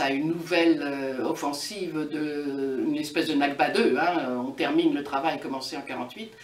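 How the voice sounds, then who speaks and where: A woman's voice, moving at a moderate pace and carrying ordinary pitch variation, comes through with audible room echo and noticeable background noise. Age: 60s. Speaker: activist. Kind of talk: interview. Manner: halting, frequent hesitations.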